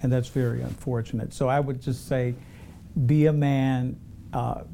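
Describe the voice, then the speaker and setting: Speaking with an American accent, a man keeps a moderate pace. His pitch is medium, and his intonation is monotone and flat. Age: 60s. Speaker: grant consultant. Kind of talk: panel discussion.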